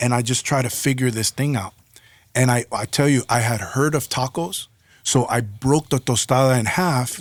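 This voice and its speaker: A man in a New York accent talks at a moderate pace and medium pitch. The recording is very clean with a silent background, and the sound is dry and close with no echo. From New York, the Bronx. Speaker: hip-hop artist and graffiti pioneer. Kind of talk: interview storytelling. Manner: animated.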